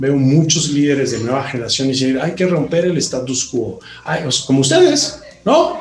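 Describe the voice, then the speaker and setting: A man with a Mexican accent speaks at a moderate pace with lively intonation, amid noticeable background noise and audible room echo. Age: 50s. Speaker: company CEO and co-founder. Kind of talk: interview. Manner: animated.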